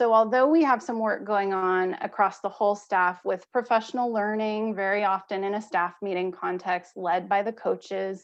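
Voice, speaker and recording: Her voice is a plain, everyday voice, a woman's at medium pitch, with ordinary pitch variation and a moderate pace. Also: hardly any pauses. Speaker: school principal. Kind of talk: presentation at school board meeting.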